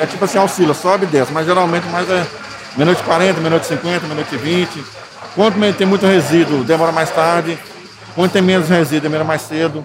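Noticeable noise sits under the recording. A high-pitched man talks very fast with fairly even intonation. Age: 50s. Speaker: garbage truck driver. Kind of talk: on-location interview.

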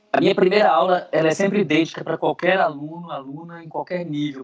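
A man with a plain, everyday voice, fairly even intonation and a fairly quick pace. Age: 40s. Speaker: neuroscientist and professor. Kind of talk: interview.

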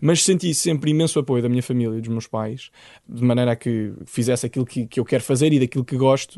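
Over a quiet background, a man with a medium pitch and a dark, mellow tone talks at a very fast pace with ordinary pitch variation. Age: 20s. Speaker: illustrator and animator. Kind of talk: interview.

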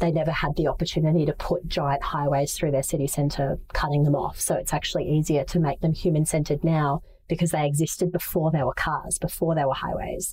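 A woman's very deep, low voice, fairly quick and almost pauseless, flat and monotone, at very even loudness. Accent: Australian. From Asia (Manila) and Brisbane, Australia. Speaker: startup founder and CEO. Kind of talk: interview. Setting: video call.

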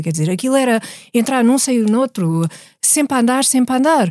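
Recorded very cleanly against a silent background, a woman's high voice has a dark, mellow tone and a dry, close sound with no echo. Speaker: podcast co-host. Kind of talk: casual chat.

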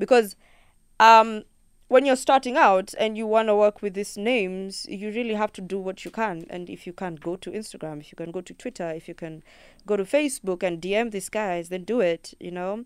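With ordinary pitch variation and big swings in loudness, a woman speaks at a medium pitch and a fairly quick pace on a very clean recording with a silent background. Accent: Kenyan. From Kenya. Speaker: singer-songwriter. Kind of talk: radio interview. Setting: studio.

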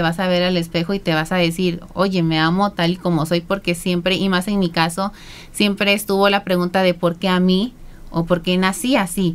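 Her pitch medium and her intonation fairly even, a woman talks in a plain, everyday voice. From southern Veracruz, Mexico. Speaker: beauty pageant contestant and psychologist. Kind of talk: interview. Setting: radio studio.

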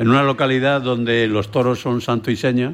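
A man's unremarkable speaking voice, medium in pitch, at a fairly slow pace with fairly even intonation. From Tarifa, Andalusia. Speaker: tavern owner. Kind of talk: round-table radio talk. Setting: on location in a tavern restaurant.

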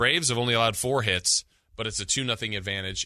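A man with an American accent, bright and sharp in tone, with ordinary pitch variation over a quiet background. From Southern California. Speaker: sports radio host. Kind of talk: sports radio talk show.

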